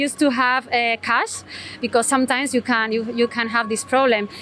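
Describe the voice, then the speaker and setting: A woman speaks with a Spanish accent against noticeable background noise. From Spain. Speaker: interviewee, foreign resident. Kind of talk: street interview. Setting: outdoors on a Tokyo street. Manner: halting, many fillers.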